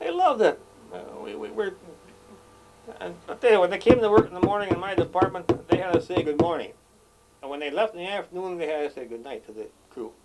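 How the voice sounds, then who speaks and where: Over noticeable background noise, a man with an Upper Midwest accent talks very fast at a high pitch, his intonation lively, his loudness swinging widely, with long, frequent pauses. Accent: Upper Midwest American. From Wisconsin. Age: 70s. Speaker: retired police chief. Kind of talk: oral history interview. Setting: on a boat.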